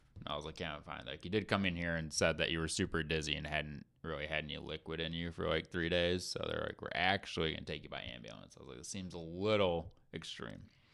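A man talks very fast in a very deep, low voice with vocal fry and a bright, sharp tone, hardly pausing. His pitch varies in an ordinary way while his loudness swings widely. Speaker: recovering alcoholic, life coach. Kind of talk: casual chat.

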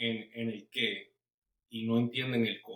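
The speaker is a man. He talks at a medium pitch. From Puerto Rico. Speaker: pastor. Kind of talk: casual interview.

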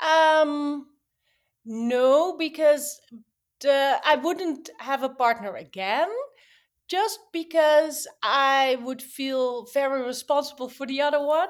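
Very slowly, a woman talks in a high voice whose pitch shows ordinary variation. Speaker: toy brand founder. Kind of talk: interview conversation. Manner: halting, hesitant.

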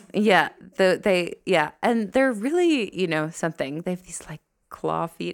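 A woman at a fairly slow pace, her loudness swinging widely. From New Jersey, US. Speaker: nurse and master's student. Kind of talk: interview. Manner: halting, many fillers.

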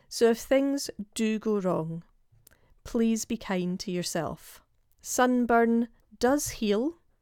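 With a British accent and lively intonation, a woman speaks at a very slow pace with long, frequent pauses. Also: fairly high pitch for a woman. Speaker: podcast host, health coach. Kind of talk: solo podcast talk.

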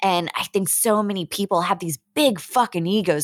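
Speaking in an American accent, a woman has a plain, everyday voice at a medium pitch with lively intonation. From Pittsburgh, US. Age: 30s. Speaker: podcaster. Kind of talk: casual chat. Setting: video call.

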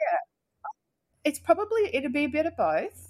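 A woman speaks at a moderate pace. She has an Australian accent. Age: 40s. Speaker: podcast guest sharing ADHD story. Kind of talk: casual interview.

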